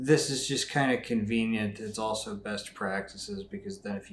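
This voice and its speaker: A man's normal speaking voice at a moderate pace, with fairly even intonation. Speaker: software tutorial creator. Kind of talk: tutorial. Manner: casual with many fillers.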